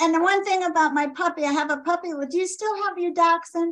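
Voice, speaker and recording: A woman talks at a fairly quick pace in an extremely high pitch, with ordinary pitch variation. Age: 70s. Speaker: caller. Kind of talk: live Q&A. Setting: video call.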